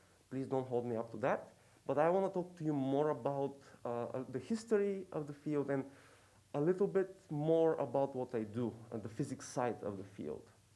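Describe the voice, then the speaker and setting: Speaking in a fairly high pitch with a non-native accent, a man has a dark, mellow tone and a moderate pace. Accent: noticeable foreign. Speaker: professor. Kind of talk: lecture. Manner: hesitant, many fillers.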